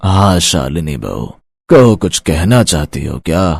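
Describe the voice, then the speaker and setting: A man performs a cartoonish character voice with a very deep, low pitch. He goes at a fairly slow pace with lively intonation. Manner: patronizing, matter-of-fact.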